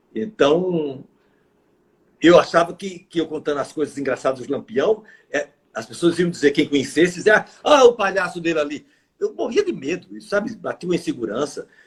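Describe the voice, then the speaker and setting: A man talks in a high voice. His pace is moderate. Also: lively intonation. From Brazilian Northeast. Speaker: actor and clown. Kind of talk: interview.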